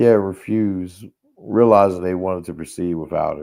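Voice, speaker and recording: This man has a very deep, low pitch with ordinary pitch variation. He speaks at a moderate pace. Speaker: TV show reviewer. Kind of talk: casual review monologue. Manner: halting, repetitive.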